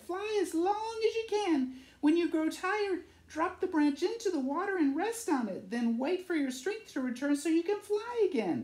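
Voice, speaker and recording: Using a put-on character voice, a woman speaks at a moderate pace with an extremely high pitch and lively intonation. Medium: read story. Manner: warm, caring.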